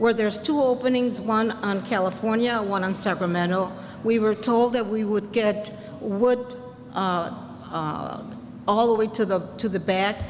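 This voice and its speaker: Against noticeable background noise, a woman talks at a fairly slow pace and fairly high pitch with fairly even intonation. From Puerto Rico. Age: 80s+. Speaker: senior resident speaking at community meeting. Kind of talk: public comment at community meeting. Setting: community meeting.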